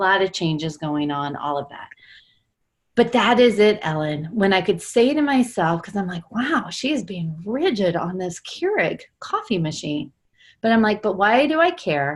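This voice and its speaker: A woman's medium-pitched voice with lively intonation at a moderate pace, in a very clean recording over a silent background. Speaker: coach. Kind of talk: group coaching call discussion. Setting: group call. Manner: talking quietly.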